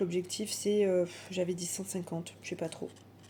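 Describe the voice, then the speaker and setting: A woman's dark, mellow voice at a medium pitch. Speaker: budgeting vlogger. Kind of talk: casual monologue vlog.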